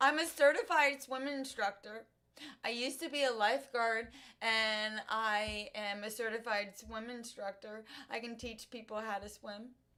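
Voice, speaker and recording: A woman's fairly high voice has a bright, sharp tone and big swings in loudness. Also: ordinary pitch variation, moderate pace. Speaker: live streamer. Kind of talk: casual chat. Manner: halting.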